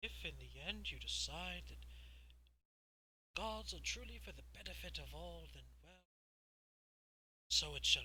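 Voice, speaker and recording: In a put-on character voice, a man speaks at a very deep, low pitch in a flat monotone, leaving long, frequent pauses. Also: moderate pace. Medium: actual play. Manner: measured, persuasive.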